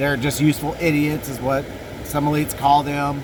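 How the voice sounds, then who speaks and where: With audible room echo and noticeable background noise, a man talks at a moderate pace in a fairly high pitch. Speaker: podcast host. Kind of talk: casual monologue. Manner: halting, self-correcting.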